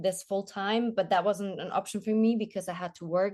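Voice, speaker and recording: Against a quiet background, a woman with a slight German accent talks at a fairly quick pace in a medium pitch, her intonation monotone and flat. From Germany. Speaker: TV journalist and presenter. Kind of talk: interview. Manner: halting, with repeated words.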